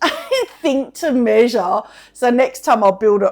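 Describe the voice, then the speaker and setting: Here a woman speaks with an Australian accent. Her pace is moderate. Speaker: potter. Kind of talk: casual chat. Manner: loud; animated. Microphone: mic close due to high shirt neck.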